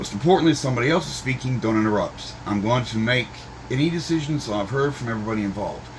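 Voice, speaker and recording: With lively intonation at a medium pitch, a man talks at a fairly quick pace amid noticeable background noise and audible room echo. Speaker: video blogger reading court transcript. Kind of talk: commentary reading a court transcript. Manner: loud.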